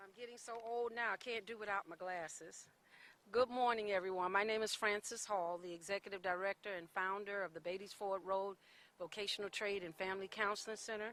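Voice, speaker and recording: A woman in a normal speaking voice talks fairly quickly at a medium pitch, her intonation fairly even and her loudness swinging widely. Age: 60s. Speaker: nonprofit director. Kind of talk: public speech at press conference. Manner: formal.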